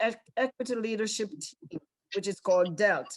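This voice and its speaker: A woman's fairly high voice with a Caribbean accent, over a quiet background. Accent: Caribbean, British-oriented. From Caribbean islands. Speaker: school district leader. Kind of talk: panel talk.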